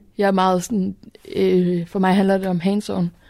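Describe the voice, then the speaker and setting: A very clean recording of a woman's voice against a silent background. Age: 20s. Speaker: youth event organiser. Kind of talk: interview.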